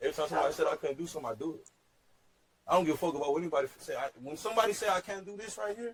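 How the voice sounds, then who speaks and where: A man talks very fast in a high pitch with lively intonation. His loudness swings widely. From Texas. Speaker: hip hop entrepreneur. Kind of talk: heated debate. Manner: animated.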